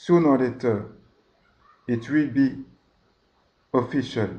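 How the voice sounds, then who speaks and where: In a French accent, a man speaks very slowly at a medium pitch, his dark, mellow tone showing ordinary pitch variation. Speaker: religious video host. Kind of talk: religious monologue. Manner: hesitant.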